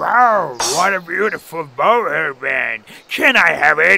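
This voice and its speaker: This is a cartoonish character voice at a middle pitch. It moves at a fairly slow pace. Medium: puppet.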